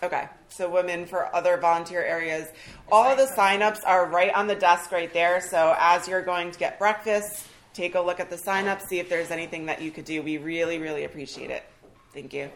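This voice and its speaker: A woman with an unremarkable speaking voice talks at a fairly quick pace and a fairly low pitch. Her loudness swings widely. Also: fairly even intonation. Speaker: pastor. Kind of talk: reading aloud.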